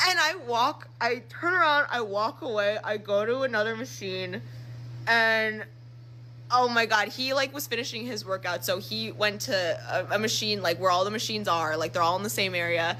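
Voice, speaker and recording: Her voice swings very widely in pitch, with vocal fry and an animated, bright, sharp tone. This woman speaks at a medium pitch. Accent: American. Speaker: social media storyteller. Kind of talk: casual storytelling. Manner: fast.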